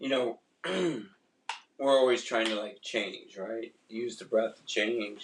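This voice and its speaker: Very slowly and in a monotone, flat intonation, a man speaks with long, frequent pauses. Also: medium pitch for a man. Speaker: breathwork coach. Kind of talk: guided breathwork session. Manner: hesitant, many fillers.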